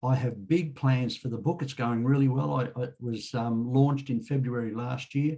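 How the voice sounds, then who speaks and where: A somewhat breathy voice with a dark, mellow tone. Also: man. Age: 70s. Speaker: author and road safety speaker. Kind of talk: casual group chat, personal update.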